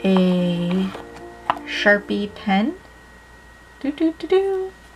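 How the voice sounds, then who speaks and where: A very slow-paced woman's voice over background music. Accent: American. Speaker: art youtuber and live streamer. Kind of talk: unboxing review. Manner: casual, filler-heavy.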